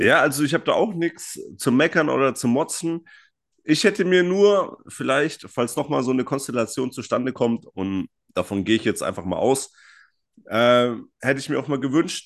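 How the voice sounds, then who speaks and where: This man's voice sits fairly high, with an animated tone and lively intonation. He keeps a moderate pace. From Franconia, Germany. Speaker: podcast co-host. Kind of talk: casual chat.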